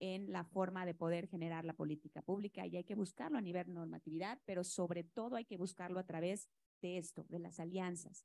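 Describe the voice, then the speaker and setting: In a Yucatecan accent, a woman speaks at a medium pitch with a dark, mellow tone. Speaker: state environment secretary. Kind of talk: panel discussion.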